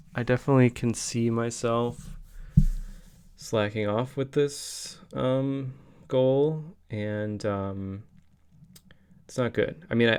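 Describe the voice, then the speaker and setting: Mumbled speech at a very slow pace with long, frequent pauses. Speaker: daily video blogger. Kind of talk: video diary monologue. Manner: mumbling.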